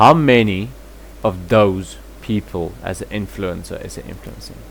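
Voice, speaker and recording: Noticeable background noise is present. A man speaks with a South African accent. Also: moderate pace, big swings in loudness. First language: Afrikaans. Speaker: commentary vlogger. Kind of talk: reaction commentary.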